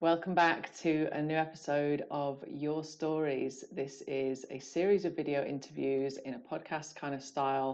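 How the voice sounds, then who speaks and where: Speaking at a moderate pace, a woman with a British accent has a very deep, low pitch and fairly even intonation. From UK. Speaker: podcast host. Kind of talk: interview intro. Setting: video call.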